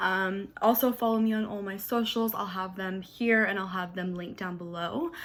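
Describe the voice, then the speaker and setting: A woman with a normal speaking voice talks at a fairly quick pace with ordinary pitch variation, on a very clean recording with a silent background. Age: 20s. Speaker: beauty vlogger. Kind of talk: tutorial. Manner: casual, filler-heavy.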